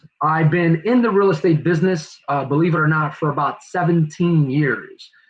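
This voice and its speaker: This man has a New Jersey accent and a fairly high pitch. He moves at a moderate pace with ordinary pitch variation. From New Jersey (Newark). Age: 40s. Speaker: real estate agent and investor. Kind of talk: presentation. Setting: virtual livestream.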